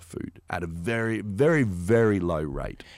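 A man's fairly low voice with an Australian accent. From Australia, Canberra. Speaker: shark attack survivor. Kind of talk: casual chat. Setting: studio.

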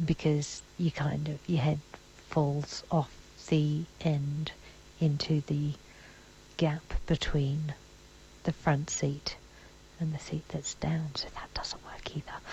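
The voice is quiet and very slow. Long pauses come often. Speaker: podcast host. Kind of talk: audio diary. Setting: in a car.

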